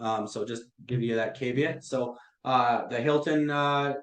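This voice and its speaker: Here a man speaks at medium pitch with fairly even intonation. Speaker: AI consultant presenting to hoteliers. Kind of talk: webinar presentation. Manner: many fillers, hesitant.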